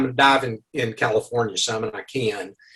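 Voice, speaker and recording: A man with an Arkansas accent. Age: 70s. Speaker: underwater photographer and author. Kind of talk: interview. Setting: video call.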